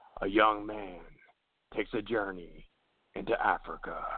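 A man performs a put-on character voice in a monotone, flat intonation. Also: fairly low pitch for a man, moderate pace. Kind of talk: trailer announcer. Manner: dark, dramatic.

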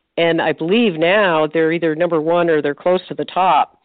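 At a moderate pace, a woman with a fairly low pitch speaks in a plain, everyday voice. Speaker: retired nurse turned sports writer. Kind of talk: sports interview chat.

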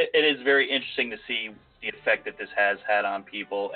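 Music is audible behind the speaker. He is a man talking at a moderate pace. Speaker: podcast host.

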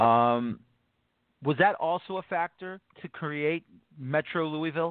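Pitched fairly high, a man speaks at a fairly slow pace. He has an American accent and ordinary pitch variation. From New York City, the Bronx. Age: 40s. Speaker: soccer podcast host. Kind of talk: casual interview. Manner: animated.

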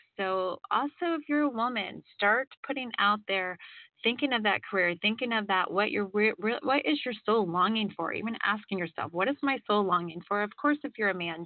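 At a moderate pace, a woman speaks in a fairly high voice, an unremarkable speaking voice. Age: 40s. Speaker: radio host and psychic reader. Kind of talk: call-in radio show with spiritual readings.

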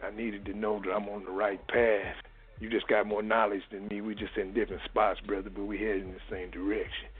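At a fairly quick pace, a man speaks in a monotone, flat intonation with a fairly low pitch. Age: 60s. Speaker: caller. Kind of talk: phone-in conversation.

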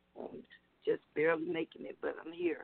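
Using a put-on character voice, a man speaks high and raspy at a fairly quick pace. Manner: weary.

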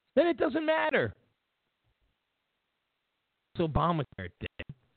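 Speaking at a slow pace, a man with a high pitch uses vocal fry and has a slightly husky edge. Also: dry, close sound with no echo.

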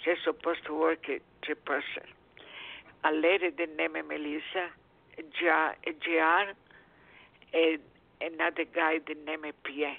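A woman with a non-native accent speaks at a fairly slow pace in a very deep, low pitch, her intonation monotone and flat, with long, frequent pauses. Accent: noticeable foreign. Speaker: caller. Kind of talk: call-in question. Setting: phone call with background noise. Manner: halting.

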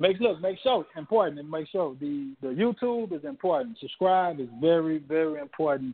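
A man with an unremarkable speaking voice talks fairly quickly in a fairly high pitch, with lively intonation, big swings in loudness and hardly any pauses. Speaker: indie rapper. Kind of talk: radio interview.

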